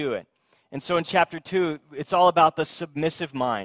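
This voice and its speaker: In an ordinary speaking voice, a man talks at a fairly high pitch with ordinary pitch variation, the sound dry and close with no echo. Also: very clean recording, silent background. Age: 30s. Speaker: pastor. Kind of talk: sermon.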